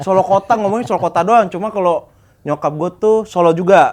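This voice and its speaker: Here a man with a high pitch speaks with ordinary pitch variation. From Jakarta, Tanjung Priok. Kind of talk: podcast guest conversation. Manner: casual, talkative.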